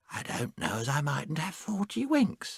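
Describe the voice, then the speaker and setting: A put-on character voice from a man, pitched fairly high, moderate in pace. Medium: read story. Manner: cosy, chatty.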